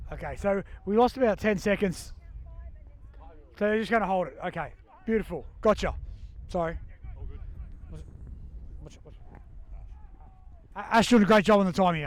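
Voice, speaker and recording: A man with an Australian accent talks at a fairly quick pace and a high pitch, with ordinary pitch variation. His loudness swings widely, and he leaves long, frequent pauses. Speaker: sports commentator. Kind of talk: live commentary. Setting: outdoors. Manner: animated.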